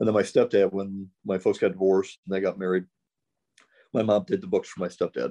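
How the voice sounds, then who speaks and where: The speaker talks at a fairly quick pace with a Midwestern American accent. The sound is dry and close with no echo, and the background is quiet. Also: man. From US Midwest, St. Louis, Missouri. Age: 50s. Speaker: chiropractor. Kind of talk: casual chat.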